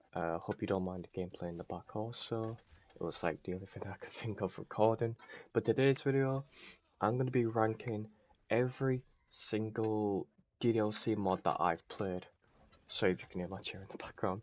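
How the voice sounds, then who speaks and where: Against a quiet background, a man speaks fairly quickly at a fairly low pitch with ordinary pitch variation. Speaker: gaming YouTuber. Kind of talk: casual commentary. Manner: quieter than usual.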